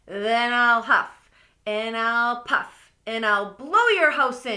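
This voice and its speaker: A female-sounding voice uses a put-on character voice at a fairly high pitch. She speaks at a very slow pace. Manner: growling.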